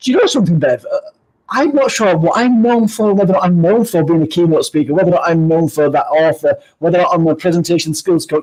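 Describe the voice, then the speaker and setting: A man with a Yorkshire accent talks at a fairly quick pace, his high pitch carrying lively intonation at a very even loudness. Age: 50s. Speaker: keynote speaker. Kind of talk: interview. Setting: live stream video.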